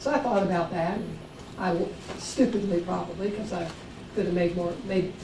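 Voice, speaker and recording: With an American accent, a woman of medium pitch speaks at a fairly quick pace, with audible room echo and noticeable background noise. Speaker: psychologist. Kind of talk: conference talk. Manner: animated.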